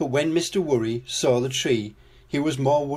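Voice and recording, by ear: Someone reads aloud in a natural voice, the pitch shifting in a normal way.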